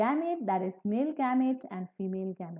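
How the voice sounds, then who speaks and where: The background stays quiet. The talking moves along at a moderate speed. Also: woman. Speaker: biology teacher. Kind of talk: lecture. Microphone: webcam.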